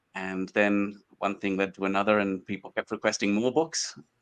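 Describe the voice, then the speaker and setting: A man speaks at a moderate pace with an Australian accent and fairly even intonation. The sound is dry and close, with no echo. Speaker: small book publisher. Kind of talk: interview.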